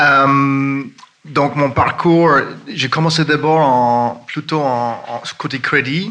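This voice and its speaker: Audible room echo and noticeable background noise surround a man speaking very slowly. His pitch is fairly high and his intonation fairly even. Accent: Irish. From Ireland. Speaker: fund manager. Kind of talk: conference panel talk. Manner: halting.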